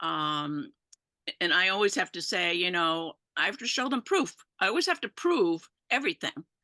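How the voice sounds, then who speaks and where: A woman with a bright, sharp tone talks at a moderate pace, her pitch swinging very widely. The sound is dry and close with no echo, over a quiet background. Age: 70s. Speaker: senior webinar attendee. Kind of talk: casual chat. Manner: halting.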